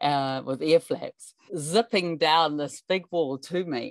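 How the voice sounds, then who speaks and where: A woman speaks with a New Zealand accent. Her pitch variation is ordinary. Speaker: climber and mountain guide. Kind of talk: interview storytelling. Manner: animated.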